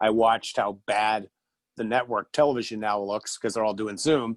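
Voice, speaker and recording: A man of medium pitch uses an ordinary speaking voice at a moderate pace with fairly even intonation, recorded dry and close with no echo over a quiet background. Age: 50s. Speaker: podcast host. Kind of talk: casual chat. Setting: video call.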